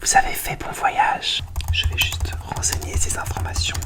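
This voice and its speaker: Noticeable background noise runs beneath a fairly slow whisper. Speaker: ASMR creator playing a hotel receptionist. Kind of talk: ASMR hotel check-in role-play, soft-spoken. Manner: whispered, soft-spoken, slow.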